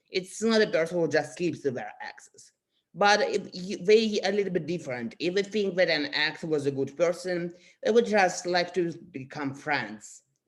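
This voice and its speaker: This voice carries a Russian accent and moves at a moderate pace. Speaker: astrology youtuber. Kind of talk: casual explainer monologue. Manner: halting, many fillers.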